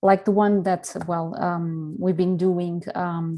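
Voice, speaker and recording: In a Portuguese accent, a woman speaks at a fairly slow pace with fairly low pitch. Her tone is dark and mellow, the intonation monotone and flat. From Portugal. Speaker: communications director. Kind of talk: presentation. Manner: halting, many fillers.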